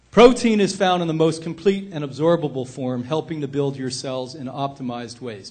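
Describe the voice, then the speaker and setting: This man's voice sits at a fairly high pitch with lively intonation. He speaks at a fairly quick pace. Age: 60s. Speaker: health institute director and speaker. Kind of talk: lecture. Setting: stage with audience. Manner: loud; animated.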